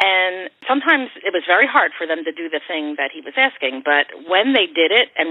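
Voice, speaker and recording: Here is a woman with a plain, everyday voice and an American accent. Her pitch is fairly low and her pace moderate. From Philadelphia, Kensington. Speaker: singer-songwriter. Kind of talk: interview.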